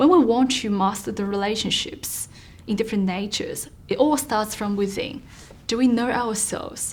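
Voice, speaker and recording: A woman speaks at a moderate pace with a Chinese accent, her voice fairly high and somewhat breathy. Her pitch varies in an ordinary way, and the room echo is audible. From China. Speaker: author and mentor. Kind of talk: interview. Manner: formal.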